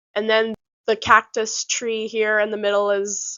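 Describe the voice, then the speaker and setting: A woman speaks at a fairly slow pace. Her pitch sits fairly high. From South Africa, moved to Canada at nine. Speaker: YouTuber, psychology student. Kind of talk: channel introduction vlog with slides. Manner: talkative, casual.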